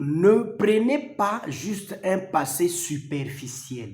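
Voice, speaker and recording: This man talks at a very slow pace in a high voice. His pitch swings very widely. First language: not French, a local mother tongue (speaking French). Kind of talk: religious teaching talk to camera. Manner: formal.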